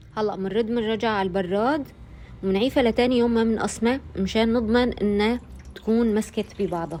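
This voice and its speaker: Speaking with an Aleppo accent, a woman uses a fairly high pitch and fairly even intonation. Her loudness is very even and her pace is moderate. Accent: Aleppo Syrian Arabic. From Syria, Aleppo. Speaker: cooking channel host. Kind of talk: cooking tutorial.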